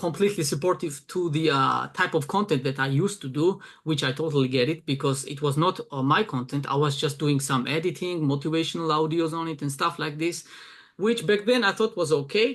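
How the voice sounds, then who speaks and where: Speech in a Georgian accent runs at a fairly quick pace. The background is quiet. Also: man, fairly high pitch for a man, ordinary pitch variation. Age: 20s. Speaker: arm wrestling event promoter and translator. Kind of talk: casual interview. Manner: hesitant, many fillers.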